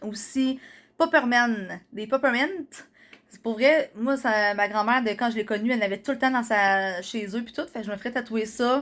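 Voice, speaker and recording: A woman speaks in a Quebec accent at a fairly high pitch with ordinary pitch variation, on a very clean recording with a silent background. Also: big swings in loudness. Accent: Québécois French. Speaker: vlogger. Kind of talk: casual vlog talk. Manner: fast.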